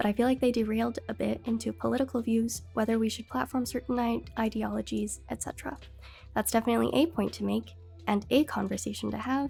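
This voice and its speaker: Music plays in the background as a woman talks at a very fast pace. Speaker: streamer. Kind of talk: casual livestream talk.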